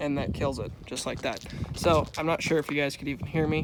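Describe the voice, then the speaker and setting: This man's voice is fairly high in pitch. His intonation is monotone and flat. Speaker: outdoors vlogger, truck owner. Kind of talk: casual vlog walkthrough. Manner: casual, many fillers; loud, yelling over exhaust.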